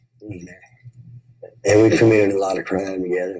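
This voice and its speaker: Speaking with a Tennessee accent, a man uses a very deep, low pitch and fairly even intonation. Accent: Southern US (Tennessee). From US South, Memphis, Tennessee. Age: 60s. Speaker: recovering addict. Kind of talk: testimony.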